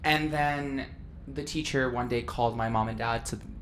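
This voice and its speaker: Audible room echo surrounds a woman who speaks at a moderate pace. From Turkey, Istanbul. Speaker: podcast co-host. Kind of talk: casual chat. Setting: studio. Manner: animated.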